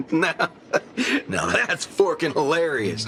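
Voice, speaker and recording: A man's drawling, put-on character voice at a fairly high pitch and fairly slow pace, over clear background noise. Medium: video game. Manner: folksy, drawling, self-censoring.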